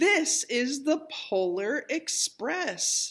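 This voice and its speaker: Putting on a character voice, a woman speaks at a high pitch with very wide pitch swings. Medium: read story.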